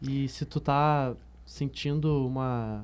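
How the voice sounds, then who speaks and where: The background is silent on this very clean recording. The speaker is a man. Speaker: student interviewer. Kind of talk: interview questioning.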